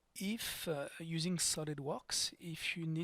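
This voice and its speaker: At a very slow pace, a man with a French accent speaks in a fairly high pitch with ordinary pitch variation. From France. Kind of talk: software modeling tutorial narration. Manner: calm, unhurried, hesitant.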